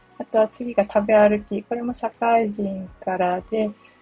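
A woman with a medium pitch talks at a fairly slow pace with fairly even intonation, recorded dry and close with no echo while music plays in the background. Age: 40s. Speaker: blogger and podcaster. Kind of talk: solo self-introduction monologue. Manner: casual, filler-heavy.

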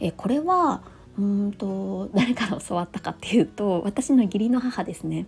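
The speaker is a woman with a medium pitch. She talks at a moderate pace with ordinary pitch variation. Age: 30s. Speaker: podcaster and working mother. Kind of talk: casual solo talk. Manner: many hesitation fillers.

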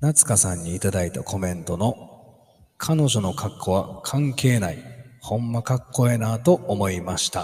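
Somewhat breathy and fairly low, a man's voice moves with lively intonation. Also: moderate pace. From Osaka, Kansai (Kyoto side). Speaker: podcast host. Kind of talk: casual solo talk.

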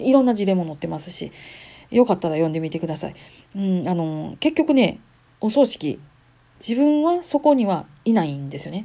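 With a Kansai accent, a woman talks fairly quickly at medium pitch, her tone dark and mellow. Her pitch swings very widely and her loudness rises and falls sharply. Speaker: podcaster. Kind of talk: casual monologue.

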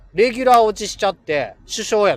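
This man speaks with a high pitch and a slight Kansai accent. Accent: mild Kansai dialect. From Kansai, Kobe (Hyogo). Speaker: livestream host, schoolteacher. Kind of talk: casual live stream chat with listeners. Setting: in a car. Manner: animated, frequent laughter.

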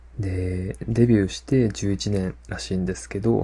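Fairly slow and relaxed, a man speaks in a dark, mellow, somewhat breathy tone at a fairly low pitch with very wide pitch swings. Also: very clean recording, silent background. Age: 30s. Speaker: podcast host. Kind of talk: casual solo podcast talk. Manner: relaxed, many fillers.

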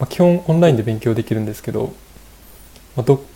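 Dark and mellow, this man's voice is somewhat breathy. It sits at medium pitch with ordinary pitch variation. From Japan, Fukushima. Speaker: software engineer. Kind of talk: casual interview. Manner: polite, hesitant with fillers.

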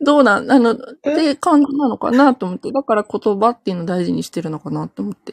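Her voice is fairly high-pitched, with very wide pitch swings at a very fast pace. The woman's sound is dry and close with no echo. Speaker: livestream listener joining to talk. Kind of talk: casual conversation. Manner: giggly.

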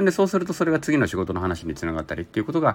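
Over noticeable background noise, a man talks at a very fast pace. His pitch swings very widely. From Japan (Zainichi Korean). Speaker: labor and social security consultant. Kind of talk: solo podcast monologue.

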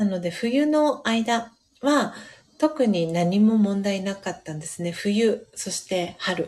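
A somewhat breathy woman at a medium pitch and very slow pace, with lively intonation on a very clean recording with a silent background. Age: 30s. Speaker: podcast host. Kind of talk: casual chat; reading aloud. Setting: live stream. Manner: frequent fillers.

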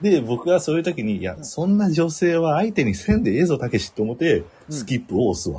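A man with a Kansai accent, fairly high-pitched, very fast, with very wide pitch swings, vocal fry and a dark, mellow tone. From Kansai, Japan. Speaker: podcast co-host. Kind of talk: casual comedic chat. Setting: live stream. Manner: animated, laughing often.

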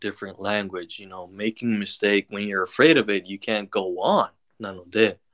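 A man with a fairly low pitch and a bright, sharp tone talks at a fairly slow pace in a dry, close recording with no echo. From Japan. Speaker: podcaster. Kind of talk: casual chat. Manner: light, breezy.

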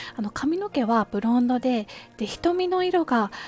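A woman's high-pitched voice with a gentle tone and very wide pitch swings, over noticeable background noise. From Kansai, Japan. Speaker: podcaster. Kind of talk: casual monologue. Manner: polite, gentle.

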